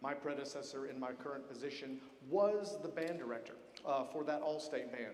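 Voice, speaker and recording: Audible room echo surrounds a man speaking with an American accent. His pitch is fairly high and his pace fairly quick. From Georgia, US South. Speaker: military band conductor. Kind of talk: concert introduction speech. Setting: concert hall stage with audience. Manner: conversational, friendly.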